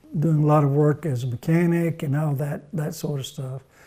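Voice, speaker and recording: His voice carries a Mississippi accent. This man speaks at a fairly high pitch. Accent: Mississippi Southern US. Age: 70s. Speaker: retired grandfather telling life stories. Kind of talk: oral history interview. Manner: halting, many fillers and repeats.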